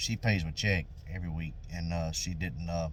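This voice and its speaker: A man is speaking. He has a Southern US accent. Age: 40s. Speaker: lawn care business owner. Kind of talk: casual vlog talk.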